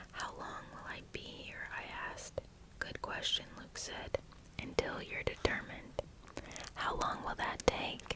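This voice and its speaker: The whispering moves at a fairly slow pace while noticeable background noise sits underneath. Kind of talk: whispered ASMR audiobook reading. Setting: close-mic studio. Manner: whispering, soft.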